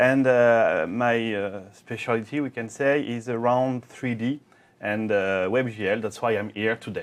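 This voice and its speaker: Against a quiet background, a man speaks fairly slowly at a medium pitch with fairly even intonation. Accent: French. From France. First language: French. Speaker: software program manager. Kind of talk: technical presentation.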